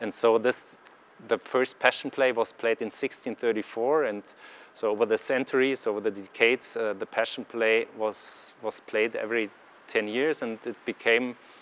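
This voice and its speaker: A man speaks with medium pitch at a moderate pace. His intonation is monotone and flat. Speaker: actor and press spokesman. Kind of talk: interview. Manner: halting, many fillers and repetitions.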